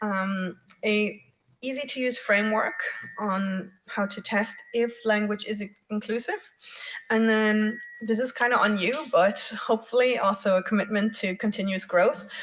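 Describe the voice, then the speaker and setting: A woman speaks in a German accent at a fairly high pitch. Her intonation stays fairly even. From Germany. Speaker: workshop facilitator. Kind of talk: workshop presentation. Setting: room with audience and online. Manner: hesitant, many fillers.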